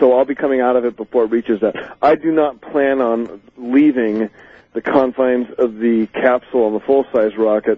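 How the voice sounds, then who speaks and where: At a moderate pace, a man speaks at a medium pitch with fairly even intonation in an ordinary speaking voice. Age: 40s. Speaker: amateur rocket builder and inventor. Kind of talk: interview. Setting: phone call.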